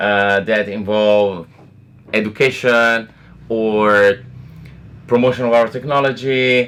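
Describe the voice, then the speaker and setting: Using a monotone, flat intonation, a man with an Italian accent speaks very slowly in a medium pitch with a bright, sharp tone. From Italy. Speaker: blockchain foundation representative. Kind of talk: casual interview. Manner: hesitant, many fillers.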